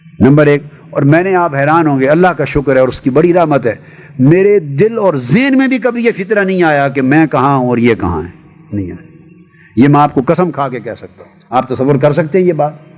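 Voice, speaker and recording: Over noticeable background noise, a man talks at a fairly high pitch with lively intonation and big swings in loudness. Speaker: religious scholar and public orator giving speaking advice to young people. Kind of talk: instructional talk to an audience on public speaking. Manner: commanding, fatherly, emphatic, at times indignant.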